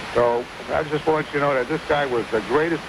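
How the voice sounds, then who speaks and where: A man at a fairly quick pace with fairly even intonation, over noticeable background noise. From New York City (Brooklyn). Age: 70s. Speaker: caller, war veteran. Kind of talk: phone-in radio chat. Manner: repetitive, halting.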